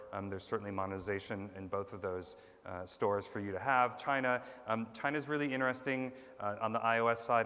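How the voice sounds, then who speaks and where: At a very fast pace, a man talks in a bright, sharp tone at medium pitch with fairly even intonation. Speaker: conference speaker, tech company executive. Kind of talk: conference talk. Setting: stage with audience. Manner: hesitant, many ums.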